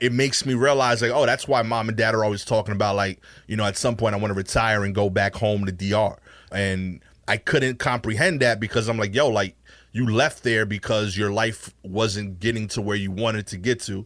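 A man with a plain, everyday voice speaks at a fairly quick pace in a fairly low pitch with fairly even intonation, on a very clean recording with a silent background. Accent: American. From Brooklyn, New York. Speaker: stand-up comedian. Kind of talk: casual interview chat with storytelling.

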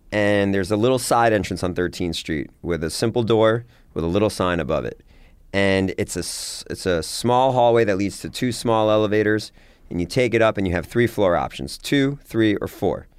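In a normal speaking voice, a man talks at a moderate pace and a fairly low pitch with ordinary pitch variation, captured on a very clean recording against a silent background. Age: 40s. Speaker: entrepreneur. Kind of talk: interview.

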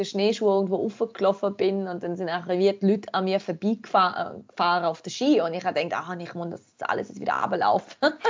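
A woman at a very fast pace, with big swings in loudness. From Germany. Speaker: outdoor photographer. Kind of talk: casual chat.

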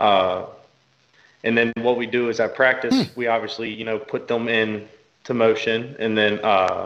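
A man with a Southern US accent speaks at a fairly slow pace in a monotone, flat intonation. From Kentucky. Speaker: football coach and GM. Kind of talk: interview. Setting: video call.

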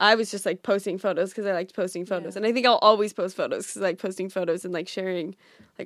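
In a very clean recording with a silent background, a woman with a Californian accent speaks at a medium pitch with fairly even intonation. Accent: Californian American. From US West Coast, Orange County, California. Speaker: social media influencer. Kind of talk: casual chat. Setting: in person in Brooklyn.

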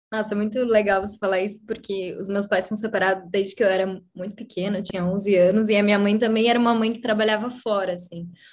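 This woman speaks at a very fast pace with hardly any pauses. Her medium pitch stays monotone and flat. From Brazil, Curitiba. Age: 30s. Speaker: designer. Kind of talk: casual chat.

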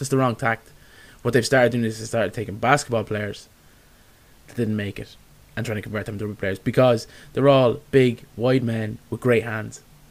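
A man with an Irish accent speaks at a fairly quick pace, yet leaves long, frequent pauses. His medium-pitched voice stays monotone and flat. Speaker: sports podcast host. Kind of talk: casual chat.

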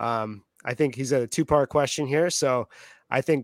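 On a very clean recording with a silent background, a man speaks at a fairly slow pace. He has an unremarkable speaking voice, fairly high in pitch, with ordinary pitch variation. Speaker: fantasy football podcast host. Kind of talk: casual podcast chat.

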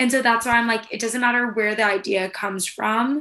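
A woman with a Californian accent, a bright, sharp tone, fairly high pitch, and ordinary pitch variation. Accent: Californian American English. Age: 20s. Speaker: former military spokesperson staffer. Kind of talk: casual chat. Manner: animated.

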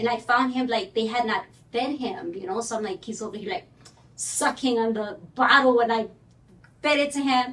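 In a Spanish accent, the speaker keeps a moderate pace and ordinary pitch variation, with long, frequent pauses. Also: woman. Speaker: mortgage broker. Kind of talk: casual chat.

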